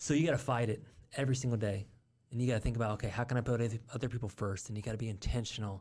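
The speech comes at a very fast pace, somewhat breathy, with fairly even intonation. The recording is very clean and the background silent. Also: man, medium pitch for a man. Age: 40s. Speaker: real estate investor. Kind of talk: casual interview. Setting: studio.

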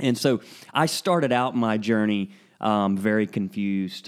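Against a quiet background, a man with a Southern US accent talks at a medium pitch and a fairly slow pace. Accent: Southern American. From US South (northern Florida, Alabama, Georgia, Tennessee). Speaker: pastor. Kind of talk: casual interview conversation. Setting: at a kitchen table at home, in person.

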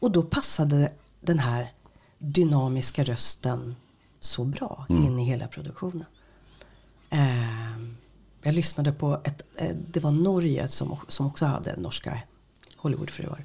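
A woman speaks at a fairly slow pace in a very deep, low voice with vocal fry, ordinary pitch variation, and long, frequent pauses. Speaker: radio host and voice-over artist. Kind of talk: interview.

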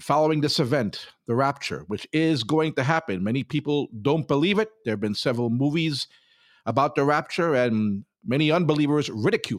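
A man with an unremarkable speaking voice, a fairly high pitch, lively intonation and a fairly quick pace, in a dry, close sound with no echo on a very clean recording with a silent background. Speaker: prayer line podcast host. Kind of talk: devotional teaching and prayer.

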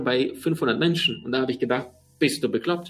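This man speaks at a fairly quick pace. His fairly high pitch shows ordinary variation. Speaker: podcast host, seminar trainer. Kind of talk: personal storytelling monologue. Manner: halting, many fillers.

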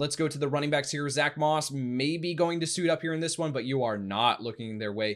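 A man speaks in an unremarkable speaking voice, pitched fairly high. His pitch variation is ordinary. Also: fairly quick pace. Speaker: fantasy football podcast host. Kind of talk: casual sports podcast chat.

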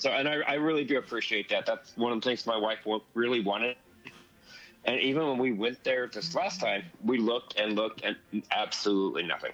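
This man has an unremarkable speaking voice at medium pitch, talking at a fairly quick pace. His pitch varies in an ordinary way and his loudness is very even. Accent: American. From Southern California (La Mirada). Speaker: podcast listener sharing a trip report. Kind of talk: casual chat.

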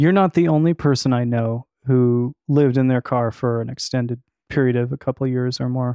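A man has a normal speaking voice at medium pitch. He keeps fairly even intonation at a fairly quick pace. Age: 40s. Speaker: podcast host and musician. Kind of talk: interview conversation. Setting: studio.

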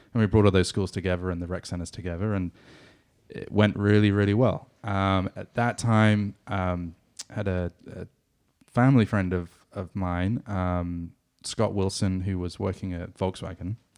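Delivered at a moderate pace with fairly even intonation, the speech comes in a southwest England accent. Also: man, very deep, low pitch for a man. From England, Exeter. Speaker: soccer club staff member and former radio co-host. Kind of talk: casual chat.

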